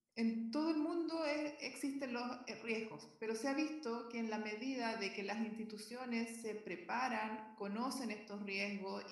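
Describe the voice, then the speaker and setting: Recorded with audible room echo and noticeable background noise, a woman speaks fairly slowly in a fairly high voice with ordinary pitch variation. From southern Chile (Concepción). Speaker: physician and health quality consultant. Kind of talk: interview.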